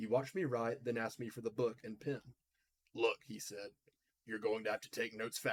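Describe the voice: Against a quiet background, this is plain reading aloud with lively intonation.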